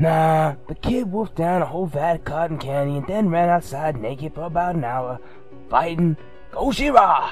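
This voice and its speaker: A put-on character voice at middle pitch, with clear music in the background. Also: moderate pace. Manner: laid-back, slangy.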